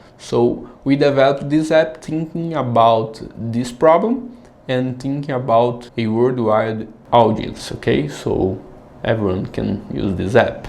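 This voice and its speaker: With a Brazilian accent, a man talks at a fairly slow pace in a medium pitch with ordinary pitch variation, and room echo is audible. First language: Portuguese. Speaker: app founder. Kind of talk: tutorial. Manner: casual.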